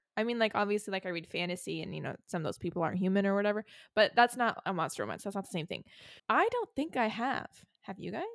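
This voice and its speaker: Speaking at a very fast pace, a woman with a medium pitch sounds animated, her pitch varying in an ordinary way, in a dry, close sound with no echo. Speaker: podcast host. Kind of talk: casual chat. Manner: animated, casual.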